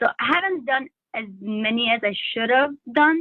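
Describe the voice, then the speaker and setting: A woman speaks with a non-native accent. Her pitch sits high. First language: not English. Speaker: LSAT student. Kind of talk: coaching session. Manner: halting, many fillers.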